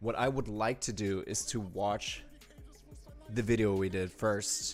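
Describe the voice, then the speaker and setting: A man speaks with a fairly low pitch. Music plays in the background. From Germany. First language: German. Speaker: music producer and pianist. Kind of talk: live stream tutorial. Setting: home studio live stream. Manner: casual, filler-heavy.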